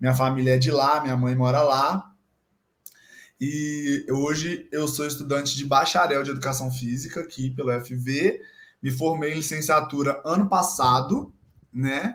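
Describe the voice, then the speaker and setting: In an ordinary speaking voice, a man talks at a fairly slow pace with fairly high pitch and fairly even intonation. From Brazil, Minas Gerais (Guidoval). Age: 20s. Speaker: physical education student and gym intern. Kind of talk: casual chat.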